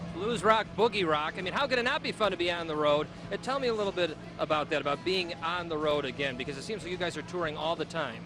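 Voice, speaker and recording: Against noticeable background noise, a man with a high voice and a Boston accent talks at a very fast pace in an upbeat tone. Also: ordinary pitch variation. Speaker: TV news reporter. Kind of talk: live TV interview.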